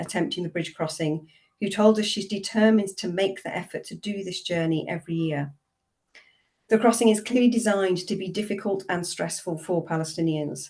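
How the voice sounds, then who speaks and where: A woman with a British accent speaks at a fairly quick pace, her medium pitch showing ordinary variation. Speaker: theology professor. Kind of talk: webinar talk.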